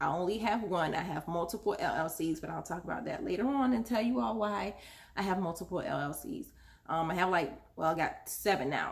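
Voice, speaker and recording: A woman's somewhat breathy voice at a fairly quick pace, with very wide pitch swings. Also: medium pitch for a woman. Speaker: small business owner giving how-to advice. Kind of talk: casual tutorial vlog. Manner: rambling, many fillers (um, uh).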